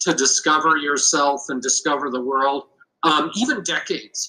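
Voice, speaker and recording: At a fairly slow pace, a man uses an ordinary speaking voice with ordinary pitch variation. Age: 60s. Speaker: business coach. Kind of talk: podcast interview. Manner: casual, many filler words.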